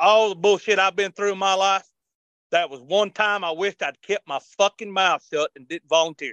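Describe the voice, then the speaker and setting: A man with an Appalachian accent and a high voice for a man talks at a moderate pace, in a dry, close sound with no echo. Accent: Appalachian Southern US. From western North Carolina mountains. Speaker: army veteran. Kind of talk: interview. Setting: remote call.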